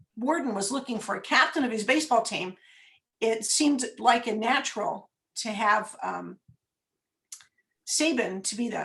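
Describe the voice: Using a put-on character voice, a woman speaks hoarsely at a fairly high pitch and a moderate pace, with long, frequent pauses.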